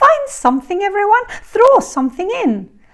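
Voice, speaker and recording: A woman's squeaky put-on character voice, extremely high-pitched with very wide pitch swings, at a moderate pace. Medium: read story. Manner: lively, warm.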